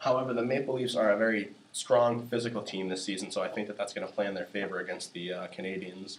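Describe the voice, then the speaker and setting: Over noticeable background noise, a man talks at a very fast pace with hardly any pauses in a fairly low voice. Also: ordinary pitch variation. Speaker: sports show host. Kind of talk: casual sports discussion.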